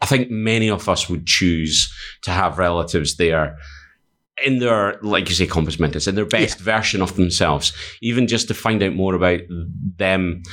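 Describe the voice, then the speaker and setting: Over a very clean recording with a silent background, a man with a Scottish accent and a very deep, low pitch speaks at a moderate pace, with ordinary pitch variation and very even loudness. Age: 40s. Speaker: podcast host. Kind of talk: casual chat.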